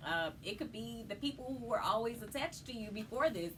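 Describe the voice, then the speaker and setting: Noticeable background noise sits behind a woman whose voice is fairly high in pitch. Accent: American. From Chicago. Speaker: poet, spoken word artist. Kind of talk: interview answer.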